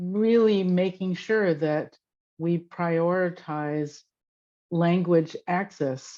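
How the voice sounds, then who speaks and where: A woman with a Fujianese accent against a quiet background. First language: Hokkien. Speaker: workshop participant. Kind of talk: group discussion. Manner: halting.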